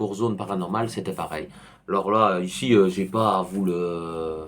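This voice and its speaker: On a very clean recording with a silent background, a man speaks fairly slowly at a fairly low pitch with fairly even intonation. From Belgium. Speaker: YouTuber on paranormal topics. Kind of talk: casual book recommendation vlog. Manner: hesitant, many fillers.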